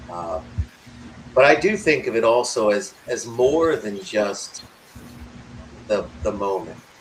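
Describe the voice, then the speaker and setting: Lively intonation marks a man's medium-pitched voice, which moves at a very slow pace with long, frequent pauses. Noticeable background noise runs underneath. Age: 60s. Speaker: podcast co-host presenting a talk. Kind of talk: casual presentation with slides. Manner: halting, many fillers.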